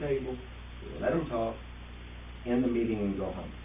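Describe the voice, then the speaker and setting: A man talks fairly quickly, and his voice picks up audible room echo. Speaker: village trustee. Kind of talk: public meeting discussion. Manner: loud.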